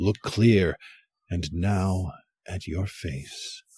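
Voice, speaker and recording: Speech with vocal fry comes at a very slow pace, the sound dry and close with no echo. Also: man. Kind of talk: spoken word poem, echoing the partner's stanzas in a duet reading.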